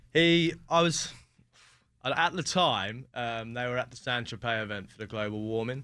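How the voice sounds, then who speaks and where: A man with a southern English accent speaks at a moderate pace and medium pitch. His tone is bright and sharp, and the background is quiet. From southern England (West Sussex). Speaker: yacht chef. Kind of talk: interview. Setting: studio.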